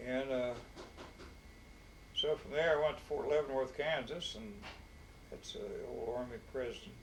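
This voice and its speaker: Over noticeable background noise, a man with an Appalachian accent talks at a moderate pace with long, frequent pauses and big swings in loudness. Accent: Appalachian Southern US. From Harlan County, Kentucky. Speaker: war veteran. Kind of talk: interview answer.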